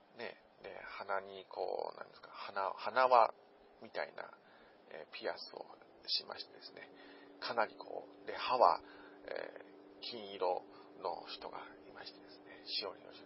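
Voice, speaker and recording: Whispering at a fairly slow pace, a man leaves long, frequent pauses, and his loudness swings widely. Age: 40s. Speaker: podcast host. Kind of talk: casual monologue. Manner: rambling with many fillers.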